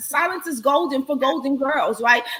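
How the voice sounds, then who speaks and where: A woman speaks in a raised, projected voice with an animated tone and lively intonation at a moderate pace. Noticeable background noise and audible room echo surround her. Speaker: live show host. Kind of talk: live stream chat with guests. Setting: online live stream. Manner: loud.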